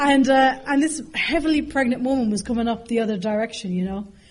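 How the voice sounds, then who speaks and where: A woman with a high pitch speaks in an Irish accent at a fairly quick pace, her tone animated and her pitch variation ordinary. Noticeable background noise and audible room echo fill the recording. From Ireland, raised partly in London. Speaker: AA speaker. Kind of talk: recovery talk to an audience. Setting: stage with audience. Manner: animated, humorous storytelling.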